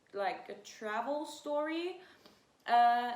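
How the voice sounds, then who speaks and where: A woman speaks at a very slow pace with ordinary pitch variation, and the room echo is audible. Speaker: fashion YouTuber, student. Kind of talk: casual sit-down vlog. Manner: hesitant, many fillers.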